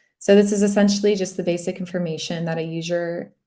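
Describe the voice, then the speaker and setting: At a fairly quick pace, a woman with an American accent speaks in a normal speaking voice, her fairly low pitch held in fairly even intonation. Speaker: local SEO expert presenting a webinar. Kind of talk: webinar presentation. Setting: online webinar.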